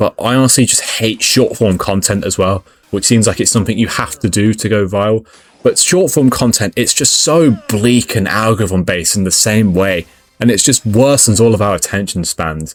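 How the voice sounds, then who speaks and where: Speaking at a moderate pace with a British accent, a man with a fairly low voice shows ordinary pitch variation. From UK. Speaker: gaming youtuber. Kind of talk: casual commentary. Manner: halting.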